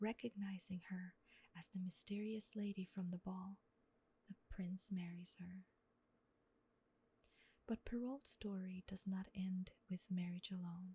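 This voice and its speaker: Soft-spoken, the speaker moves at a fairly slow pace with long, frequent pauses. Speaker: ASMR artist. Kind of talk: sleep story.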